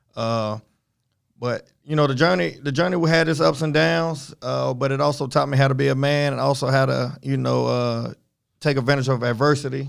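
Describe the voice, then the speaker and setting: With ordinary pitch variation, the man talks at a moderate pace in a medium-pitched voice. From Florida, moved to Charlotte area as youth. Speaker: high school football coach. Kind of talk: casual interview.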